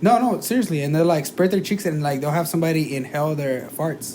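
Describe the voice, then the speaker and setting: A man talks at a very fast pace, his voice fairly high in pitch with ordinary variation. Audible room echo colors the sound. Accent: slight non-native. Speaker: podcast co-host. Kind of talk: casual chat. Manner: halting, many fillers.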